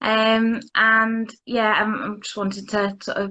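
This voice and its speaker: A woman talks in a fairly high pitch. Her intonation stays monotone and flat. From Lancashire, northern England. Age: 30s. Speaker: interviewee sharing mental health story. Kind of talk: interview. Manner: halting.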